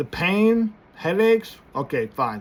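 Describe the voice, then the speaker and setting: This is a man speaking. Background noise is noticeable. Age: 30s. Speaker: small business owner and church minister. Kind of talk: casual vlog monologue. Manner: halting.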